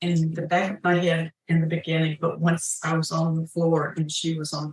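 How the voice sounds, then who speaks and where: The intonation is flat and monotone, and the voice is somewhat breathy. The pace is moderate. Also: woman. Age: 70s. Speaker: crime victim witness. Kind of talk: courtroom testimony. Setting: courtroom.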